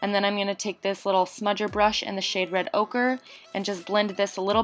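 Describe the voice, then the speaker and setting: With music in the background, a woman speaks at a fairly quick pace in a medium pitch with fairly even intonation. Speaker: beauty youtuber. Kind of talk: tutorial. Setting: voiceover. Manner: fast.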